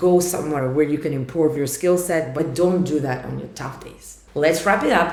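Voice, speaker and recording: A woman's very deep, low voice in a Russian accent, fairly even in intonation, with big swings in loudness, hardly any pauses, and noticeable background noise. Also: moderate pace. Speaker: startup founder. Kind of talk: vlog monologue.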